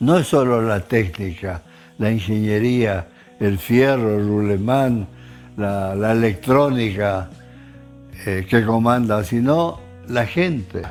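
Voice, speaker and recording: With music in the background, a man with an Argentine accent speaks at a very slow pace and a fairly low pitch, with ordinary pitch variation and long, frequent pauses. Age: 80s+. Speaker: engineer, former Olympic athlete. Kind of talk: interview answer.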